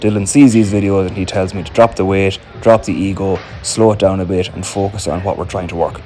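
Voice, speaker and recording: With an Irish accent, a man speaks at a fairly quick pace as music plays in the background. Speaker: amateur Gaelic footballer and fitness vlogger. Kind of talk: gym vlog voiceover narration.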